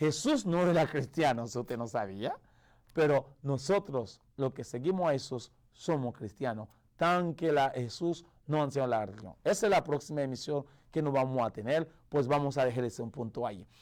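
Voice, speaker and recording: On a very clean recording with a silent background, a man speaks at a moderate pace and fairly high pitch with lively intonation. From Haiti. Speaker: pastor. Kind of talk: radio sermon. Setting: radio broadcast. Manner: halting, with self-corrections.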